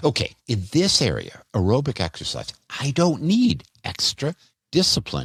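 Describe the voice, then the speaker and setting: A man at a fairly slow pace, with very wide pitch swings and vocal fry, in a dry, close sound with no echo on a very clean recording with a silent background. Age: 60s. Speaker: physician health podcaster. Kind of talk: health podcast monologue.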